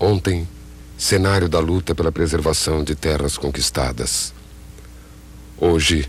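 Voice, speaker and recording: A man speaks fairly slowly in a very deep, low voice. His pitch varies in an ordinary way. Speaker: narrator. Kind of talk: poetic documentary narration.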